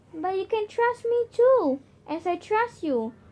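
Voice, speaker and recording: Using a squeaky put-on character voice, a woman speaks at a fairly slow pace and an extremely high pitch. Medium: read story. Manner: urgent, insistent.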